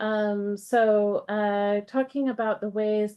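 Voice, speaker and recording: The speaker talks at a very slow pace with an American accent. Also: woman. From United States. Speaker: professor. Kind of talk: academic seminar talk. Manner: many filler words (um, uh).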